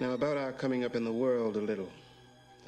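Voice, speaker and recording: A man speaks at a moderate pace with ordinary pitch variation while clear music plays in the background. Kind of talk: film dialogue. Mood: calm, persuasive, slightly dismissive. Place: home room.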